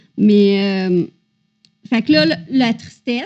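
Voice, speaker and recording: A woman is speaking. She has a Quebec accent. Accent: Québécois French. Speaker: podcast co-host. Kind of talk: casual chat.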